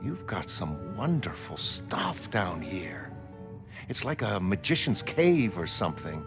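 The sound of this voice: A man puts on a character voice, pitched low and delivered at a slow pace with big pitch swings. Clear music plays in the background.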